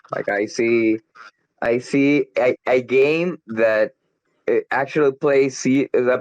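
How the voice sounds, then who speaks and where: Speaking at a very slow pace in a Spanish accent, a man with a medium pitch is heard in a dry, close sound with no echo. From Colombia. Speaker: crypto community member. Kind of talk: casual chat. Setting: online audio chat room.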